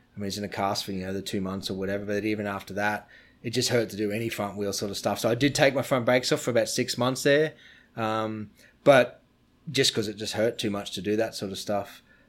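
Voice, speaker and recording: A man with an Australian accent, fairly low pitch, fairly even intonation and a very fast pace. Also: very clean recording, silent background. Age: 40s. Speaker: BMX rider and brand owner. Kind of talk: casual interview. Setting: in person, near Stuttgart, Germany.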